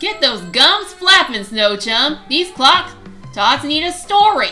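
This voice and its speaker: A woman uses a cartoonish character voice at a fairly slow pace over clear music in the background. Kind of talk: 1920s cartoon slang. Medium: game stream. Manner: chipper, wacky.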